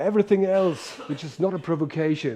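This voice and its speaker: Speaking fairly slowly, a man uses ordinary pitch variation. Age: 60s. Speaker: professor. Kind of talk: lecture. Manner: animated.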